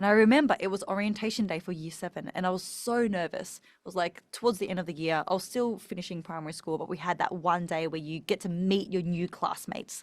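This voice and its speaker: A woman talks at a very fast pace with hardly any pauses. She speaks in an Australian accent. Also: medium pitch for a woman, ordinary pitch variation. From Australia, Melbourne. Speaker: speaking coach. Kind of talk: podcast interview.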